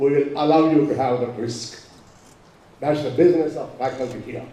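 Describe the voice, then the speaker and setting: Audible room echo surrounds a loud man's voice. He keeps a moderate pace. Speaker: professor. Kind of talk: speech.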